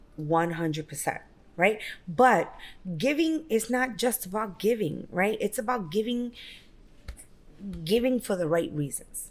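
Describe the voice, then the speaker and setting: A woman with a New York accent, fairly high in pitch, at a fairly slow pace with very wide pitch swings and long, frequent pauses. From Brooklyn, New York. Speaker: real estate broker and business owner. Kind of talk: interview.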